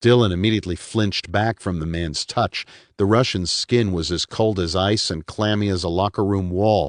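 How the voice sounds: What you hear is a natural reading voice.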